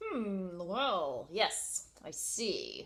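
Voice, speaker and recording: A woman mumbles in a put-on character voice. Her pitch sits in the medium range. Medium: read story. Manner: mumbling.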